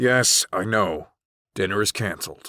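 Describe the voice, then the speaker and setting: In a put-on character voice, a man speaks raspy and fairly low at a moderate pace. The recording is very clean with a silent background. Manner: dry, clipped.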